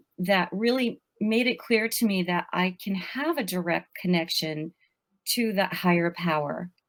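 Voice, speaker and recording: A woman with a plain, everyday voice speaks at a fairly slow pace. Her pitch is medium, with ordinary pitch variation. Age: 60s. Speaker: life coach and author. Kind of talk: podcast interview.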